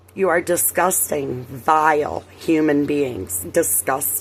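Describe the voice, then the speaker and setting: Noticeable background noise is present throughout. Under it, a woman talks very slowly. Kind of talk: casual talk to camera.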